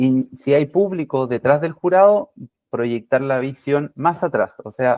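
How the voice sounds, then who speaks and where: At a fairly slow pace, a man with a fairly high pitch speaks in a calm, dark, mellow tone with lively intonation. The sound is dry and close, with no echo. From Chile. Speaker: physiotherapy academic, lecturer. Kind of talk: lecture. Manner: deliberately calm, slowed pace; many fillers and hesitations.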